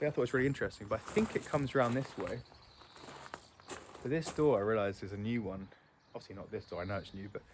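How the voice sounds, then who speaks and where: A man with an English accent speaks at a very fast pace with ordinary pitch variation. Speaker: homeowner vlogger. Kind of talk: casual walkthrough vlog. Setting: outdoors. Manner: quiet.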